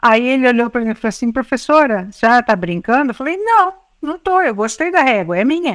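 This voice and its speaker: The woman's voice is high in pitch and her pace is fairly quick. The sound is dry and close, with no echo. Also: very clean recording, silent background. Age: 60s. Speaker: educator and writer. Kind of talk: interview conversation.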